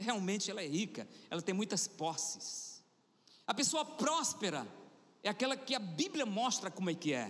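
The voice sounds animated, its pitch swinging very widely. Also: man. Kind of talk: sermon. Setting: church. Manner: exhorting, rousing the congregation.

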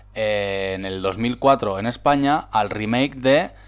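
The man talks with ordinary pitch variation. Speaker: podcast co-host. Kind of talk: casual chat.

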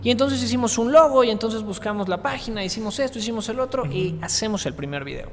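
Amid noticeable background noise and audible room echo, a man talks at a very fast pace in a high pitch with lively intonation. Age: 20s. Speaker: entrepreneur and influencer. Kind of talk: interview.

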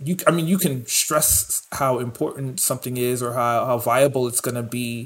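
This man has an American accent and a medium pitch, with ordinary pitch variation and a somewhat breathy sound. He speaks at a moderate pace with hardly any pauses. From New York. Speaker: chef and podcast co-host. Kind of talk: casual chat.

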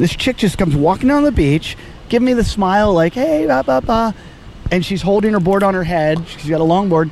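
A man with a high pitch talks at a fairly quick pace with lively intonation over noticeable background noise. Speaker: comedian and podcast host. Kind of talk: casual chat. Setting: outdoors on a beach.

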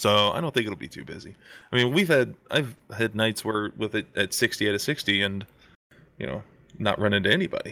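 Over a very clean recording with a silent background, a man talks fairly quickly in a bright, sharp tone with lively intonation and vocal fry. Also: fairly low pitch for a man. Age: 30s. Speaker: plumber and gaming community moderator. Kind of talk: casual chat.

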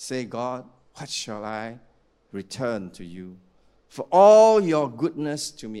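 Over a silent background in a very clean recording, the voice sounds animated and swings very widely in pitch. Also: man. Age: 60s. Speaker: pastor. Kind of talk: sermon. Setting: church.

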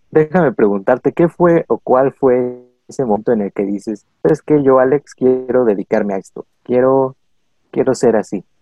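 A man with a Mexican accent speaks while music plays in the background. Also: medium pitch for a man, ordinary pitch variation, moderate pace. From Mexico. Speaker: podcast co-host. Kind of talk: casual chat.

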